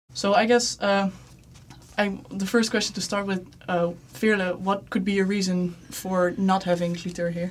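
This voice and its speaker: A woman's somewhat breathy, medium-pitched voice at a moderate pace with fairly even intonation. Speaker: podcast host. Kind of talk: moderated discussion.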